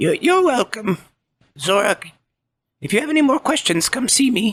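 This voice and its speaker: In a put-on character voice, a man speaks at an extremely high pitch and a moderate pace. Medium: actual play. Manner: slow, cryptic, gentle.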